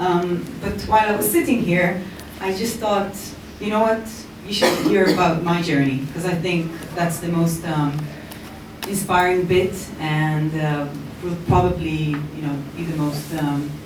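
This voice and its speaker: With an American accent, a woman speaks at a fairly slow pace with long, frequent pauses, her fairly low pitch showing ordinary variation, amid audible room echo and noticeable background noise. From Israel. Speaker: startup founder. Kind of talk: conference talk. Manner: hesitant, many fillers.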